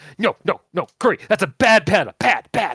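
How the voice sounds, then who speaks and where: A man speaks at a moderate pace in a put-on character voice. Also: high pitch for a man. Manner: scolding the animal.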